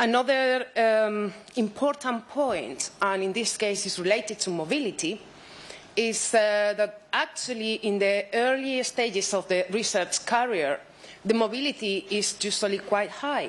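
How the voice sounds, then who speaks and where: A woman with a Spanish accent, fairly high in pitch, at a fairly slow pace. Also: ordinary pitch variation. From Spain. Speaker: researcher. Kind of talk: conference talk.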